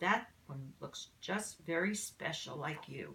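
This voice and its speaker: Using a put-on character voice, a woman speaks at a fairly slow pace. Her pitch is fairly low, and her intonation is lively. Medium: read story.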